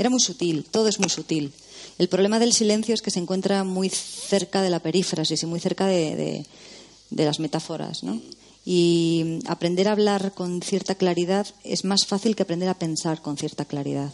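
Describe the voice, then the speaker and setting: A woman speaks at a fairly low pitch with ordinary pitch variation over noticeable background noise. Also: moderate pace. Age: 40s. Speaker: novelist. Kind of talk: casual film discussion.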